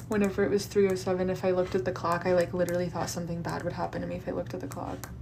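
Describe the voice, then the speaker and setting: A woman rattles along at a very fast pace, with audible room echo and noticeable background noise around her. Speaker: astrologer doing live readings. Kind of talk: live stream astrology readings. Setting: TikTok live stream. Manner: animated.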